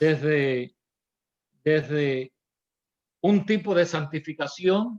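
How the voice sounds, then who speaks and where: A man's voice, fairly high in pitch. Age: 70s. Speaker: pastor. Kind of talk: Bible class teaching.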